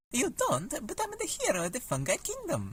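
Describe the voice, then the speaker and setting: A put-on character voice, high-pitched, in an Italian accent, at a moderate pace. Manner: comic, exaggerated.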